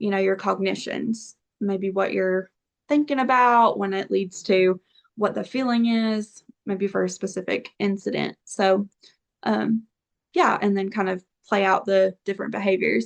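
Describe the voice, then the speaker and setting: A woman with a normal speaking voice talks at a fairly slow pace. Her pitch is medium, with ordinary pitch variation. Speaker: therapist. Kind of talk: interview. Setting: podcast.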